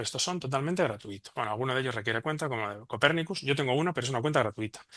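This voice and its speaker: In a Spanish accent, a man talks at a very fast pace and medium pitch, with a bright, sharp tone and ordinary pitch variation, against a quiet background. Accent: Spanish (Spain). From Spain. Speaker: remote sensing researcher. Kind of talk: conference presentation.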